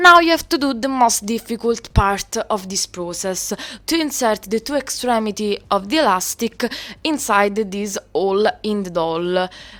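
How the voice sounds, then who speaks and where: In an Italian accent, a woman speaks at a fairly slow pace with a fairly high pitch, lively intonation and a bright, sharp tone. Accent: Italian accent, noticeable. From Italy. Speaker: doll customizer, video creator. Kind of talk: tutorial. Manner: halting, with fillers.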